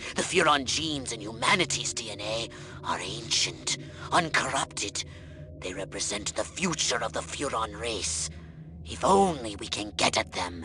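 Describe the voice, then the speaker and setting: A man puts on a character voice at a medium pitch and a moderate pace, with clear background noise behind him. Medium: video game. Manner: condescending, pompous.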